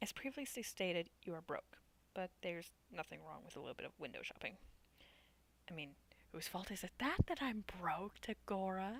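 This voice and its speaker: The voice is quiet, moving at a moderate pace with long, frequent pauses. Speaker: gaming youtuber. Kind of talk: let's play commentary, reading game text aloud. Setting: home at night, family sleeping. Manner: quiet, low volume.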